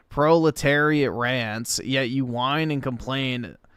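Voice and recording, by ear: Someone reads aloud in a natural voice, keeping the intonation fairly even.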